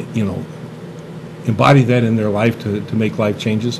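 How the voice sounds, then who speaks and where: A man is talking. Noticeable noise sits in the background. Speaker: talk show host. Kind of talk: interview host talk. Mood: warm, jovial. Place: studio. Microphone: studio mic.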